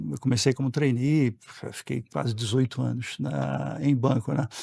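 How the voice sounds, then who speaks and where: Medium-pitched male voice with fairly even intonation and a dry, close sound lacking any echo. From Brazil, Pernambuco, raised also in Rio and São Paulo. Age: 60s. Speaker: board member. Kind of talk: podcast interview.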